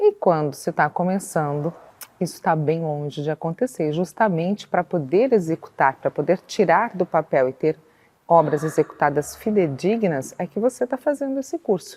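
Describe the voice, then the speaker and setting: At a moderate pace, a woman with a fairly low pitch and a dark, mellow tone speaks with lively intonation in a dry, close sound with no echo. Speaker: architecture course instructor. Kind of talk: online course lesson.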